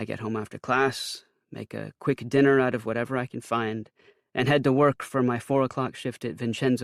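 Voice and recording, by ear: The intonation is fairly even as someone reads aloud in a natural voice. Nothing much is heard behind it.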